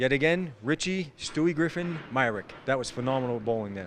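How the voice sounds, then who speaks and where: A man with a Boston accent and ordinary pitch variation. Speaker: bowling commentator. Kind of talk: live sports commentary.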